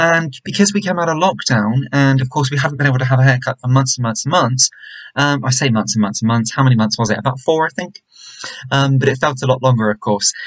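Somewhat breathy, a man talks at a very fast pace with ordinary pitch variation against a quiet background. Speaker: vlogger. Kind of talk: casual vlog chat. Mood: disappointed, reflective. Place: home room. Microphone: webcam.

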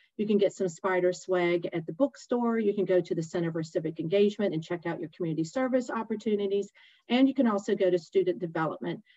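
Against a quiet background, a woman speaks at a very fast pace with ordinary pitch variation. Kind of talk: informational presentation. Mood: warm, enthusiastic. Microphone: webcam.

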